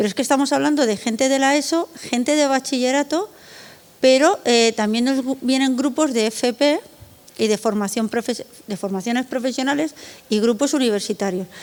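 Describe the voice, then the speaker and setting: This woman's voice sits high in pitch. Her pitch moves up and down in the usual way. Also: moderate pace. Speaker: art foundation director. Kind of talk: conference panel talk. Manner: conversational with fillers.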